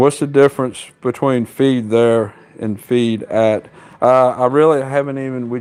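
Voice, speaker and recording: At a moderate pace, a man speaks in a Southern US accent with fairly even intonation. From US South. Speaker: horse trainer. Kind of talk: live stream Q&A.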